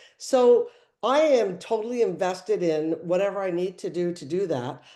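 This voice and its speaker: A woman's dark, mellow tone with very wide pitch swings, in a Canadian accent. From Canada, Toronto area. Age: 60s. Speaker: small business owner. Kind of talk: testimony. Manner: animated.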